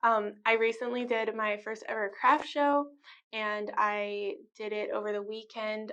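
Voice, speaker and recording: A woman speaks quietly in a fairly high pitch. Her intonation stays flat and monotone. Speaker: artist and vlogger. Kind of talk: casual vlog talk to camera. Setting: rented studio office. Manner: hesitant, many fillers.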